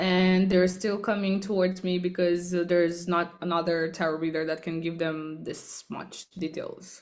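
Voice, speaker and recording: Her fairly low voice stays monotone and flat as the woman speaks. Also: moderate pace, hardly any pauses. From Romania. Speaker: tarot reader. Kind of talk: podcast interview.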